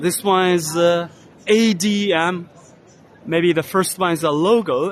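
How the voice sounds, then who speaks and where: Pitched high, a man speaks at a very slow pace with ordinary pitch variation. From China. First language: Chinese. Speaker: vlogger. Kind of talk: walking tour commentary. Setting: trade exhibition hall. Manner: loud.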